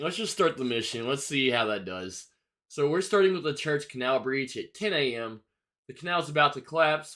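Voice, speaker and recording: On a very clean recording with a silent background, a man with fairly high pitch speaks at a fairly quick pace in a relaxed yet bright, sharp tone, his intonation lively and his loudness swinging widely. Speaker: gaming streamer. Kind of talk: live gameplay commentary. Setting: livestream. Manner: casual, relaxed.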